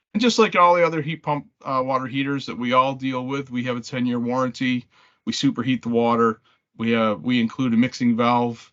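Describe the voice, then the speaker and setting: A man talks at a fairly quick pace, his medium pitch showing ordinary pitch variation. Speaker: manufacturer representative. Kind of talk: product presentation. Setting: conference call. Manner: fast.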